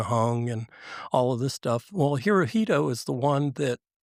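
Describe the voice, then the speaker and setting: A man with an American accent speaks at a moderate pace and medium pitch, with ordinary pitch variation and a normal speaking voice. The recording is very clean with a silent background and a dry, close sound with no echo. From Virginia, US. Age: 60s. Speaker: military veteran and speaker. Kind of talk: interview storytelling. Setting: studio with live brunch audience.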